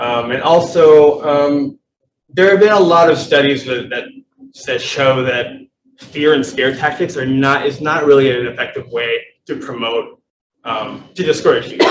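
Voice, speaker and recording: A man speaks at a moderate pace in an unremarkable speaking voice. His pitch is fairly high, with ordinary variation. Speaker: public health presenter. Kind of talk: presentation at a meeting.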